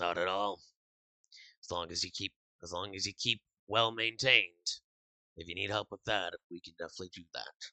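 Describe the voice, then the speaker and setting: A man's put-on character voice, raspy and fairly low in pitch, at a moderate pace with long, frequent pauses, big swings in loudness and fairly even intonation. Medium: actual play. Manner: blunt, plain-spoken.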